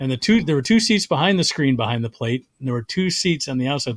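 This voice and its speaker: Speaking very fast with an American accent, a man has a medium pitch, lively intonation, and a somewhat breathy voice. The very clean recording has a silent background and a dry, close sound with no echo. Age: 60s. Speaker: comedian. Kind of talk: casual chat. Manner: halting.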